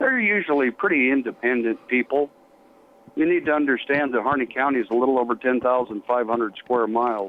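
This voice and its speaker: A man with an American accent talks at a fairly quick pace in a plain, everyday voice. His pitch sits in the medium range and moves with ordinary variation. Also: very even loudness. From Colorado, US. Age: 60s. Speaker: retired fire chief. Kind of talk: interview.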